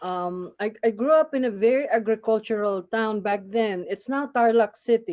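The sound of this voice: A woman talks at medium pitch with ordinary pitch variation. Her pace is moderate.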